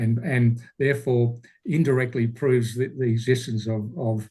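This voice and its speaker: A somewhat breathy voice with an Australian accent, a fairly slow pace and fairly even intonation. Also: man. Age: 60s. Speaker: speaker, retired teacher. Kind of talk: Q&A answer. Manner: halting.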